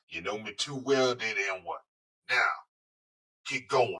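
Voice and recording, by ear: In a put-on character voice, the speaker sounds raspy and talks at a fairly slow pace. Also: man, medium pitch for a man.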